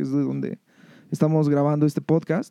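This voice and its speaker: A man with a Mexican accent, dark and mellow in tone, in a dry, close recording with no echo. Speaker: podcast co-host. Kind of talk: casual chat.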